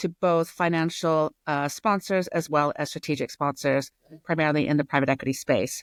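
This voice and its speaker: A woman with an American accent speaks at a very deep, low pitch and a moderate pace, with ordinary pitch variation and very even loudness. The sound is dry and close with no echo, on a very clean recording with a silent background. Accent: American accent, kept after 20 years in UK. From US. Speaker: retail strategy consultant. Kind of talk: interview.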